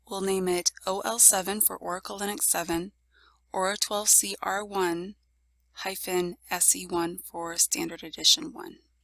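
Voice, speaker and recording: Fairly slow female speech at medium pitch, bright and sharp in tone, with ordinary pitch variation and big swings in loudness, dry and close with no echo on a very clean recording with a silent background. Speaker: IT tutorial presenter. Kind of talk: software tutorial screencast narration.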